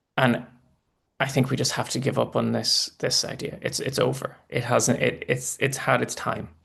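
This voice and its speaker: A man talks at a moderate pace with a Northern Irish accent. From Northern Ireland. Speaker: political commentator. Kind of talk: live election analysis. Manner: halting, many restarts.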